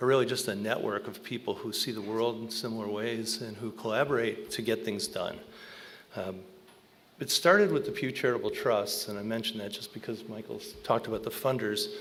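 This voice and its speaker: A man with an American accent talks at a fairly quick pace. Room echo is audible. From Alaska. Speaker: conservation strategist. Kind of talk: panel talk. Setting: stage with audience. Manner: loud.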